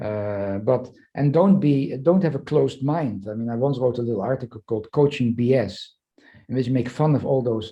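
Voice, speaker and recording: Somewhat breathy, a man with a dark, mellow tone speaks at medium pitch with ordinary pitch variation. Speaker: psychoanalyst and leadership professor. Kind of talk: interview conversation. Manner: fast; halting, many fillers and repetitions.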